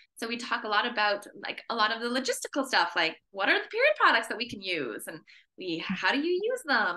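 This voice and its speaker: A woman with a Canadian accent speaks at a fairly quick pace in a fairly high, bright, sharp tone, her pitch swinging very widely. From Canada. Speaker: menstrual health educator. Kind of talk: podcast interview.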